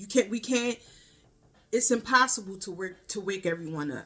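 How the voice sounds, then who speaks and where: A woman with a Baltimore accent talks at a moderate pace, her medium pitch varying in an ordinary way and her tone bright and sharp. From Baltimore, US. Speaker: spiritual vlogger. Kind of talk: casual spiritual monologue.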